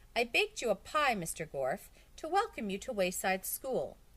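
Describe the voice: Fairly high in pitch and moderate in speed, a put-on character voice.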